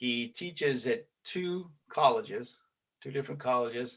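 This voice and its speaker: A man with a Southern US accent, fairly high-pitched, with lively intonation and a fairly slow pace. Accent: Southern twang. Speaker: podcast host, police trainer. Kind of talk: casual interview chat. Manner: filler-heavy, hesitant starts.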